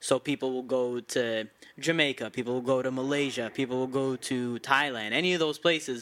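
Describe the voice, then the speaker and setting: A man with a medium-pitched voice talks at a fairly quick pace and with fairly even intonation on a very clean recording with a silent background. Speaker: podcast host and comedian. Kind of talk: casual chat. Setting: home room.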